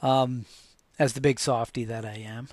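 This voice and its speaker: The pace of this man's speech is fairly slow. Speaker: podcast host sharing faith and transplant story. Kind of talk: personal testimony monologue. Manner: calm; halting, many fillers and repeats.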